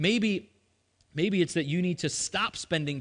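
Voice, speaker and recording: A man's animated voice, high-pitched, with ordinary pitch variation. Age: 30s. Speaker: pastor. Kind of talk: sermon.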